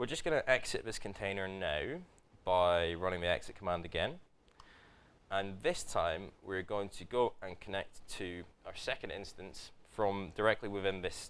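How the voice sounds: A man talks in a low pitch with a fairly bright tone and ordinary pitch variation.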